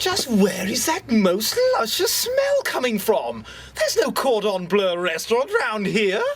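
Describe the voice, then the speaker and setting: Clear background noise sits behind a woman. She uses a put-on character voice at a fairly slow pace. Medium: read story.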